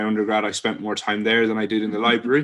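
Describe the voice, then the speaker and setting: Speaking with an Irish accent, a man holds a medium pitch in a monotone, flat delivery, his tone bright and sharp on a very clean recording with a silent background. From Ireland. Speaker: PhD student. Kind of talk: informal talk. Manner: frequent filler words (um, uh).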